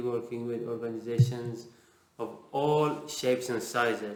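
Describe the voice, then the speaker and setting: With a Persian accent, a man speaks at a fairly slow pace, with audible room echo and noticeable background noise. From Iran. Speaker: interviewer, agile author. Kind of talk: casual interview.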